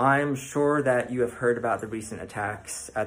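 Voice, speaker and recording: Speaking at a moderate pace, the man has a medium pitch and a plain, everyday voice. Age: 30s. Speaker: viewer asking a video question. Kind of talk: recorded video question.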